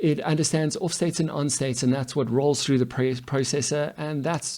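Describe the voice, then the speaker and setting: Pitched fairly high, a man's voice carries a dark, mellow tone. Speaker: coding teacher. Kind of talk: tutorial.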